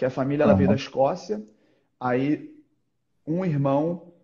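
A somewhat breathy man's voice of dark, mellow tone, with ordinary pitch variation and a quiet background. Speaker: podcast guest. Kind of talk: interview answer. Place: home room. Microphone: video call.

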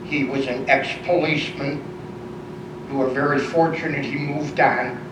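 Amid noticeable background noise and audible room echo, a man with fairly high pitch talks in a monotone, flat way at a moderate pace. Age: 70s. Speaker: resident speaking at public comment, veteran. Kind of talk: public comment.

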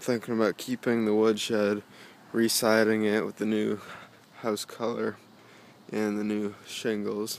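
With a fairly low pitch and monotone, flat intonation, a man speaks at a fairly slow pace in a dry sound with no echo. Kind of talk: casual vlog chat. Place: open country. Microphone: phone near.

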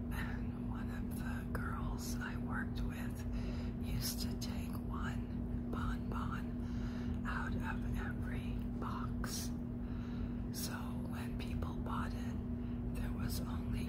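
A woman whispers at a very slow pace over noticeable background noise. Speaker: ASMR creator. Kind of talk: personal anecdote told to camera. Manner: whispered; slow, relaxing.

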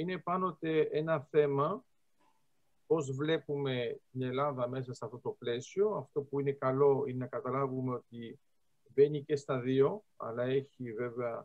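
Over a quiet background, a man speaks at a fairly slow pace with ordinary pitch variation. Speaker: lecturer on geostrategy. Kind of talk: lecture. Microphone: video call.

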